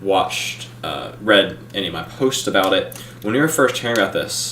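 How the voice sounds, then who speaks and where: Against noticeable background noise and audible room echo, a man talks with lively intonation. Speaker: YouTube film reviewer. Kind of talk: live stream review. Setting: live stream. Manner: slow, halting.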